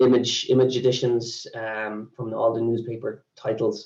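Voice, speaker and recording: Speaking with an Irish accent, a man uses a medium pitch and monotone, flat intonation, sounding somewhat breathy at a fairly slow pace. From Ireland. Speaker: sales executive for a news database company. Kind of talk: webinar presentation. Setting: online webinar. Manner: halting, many fillers.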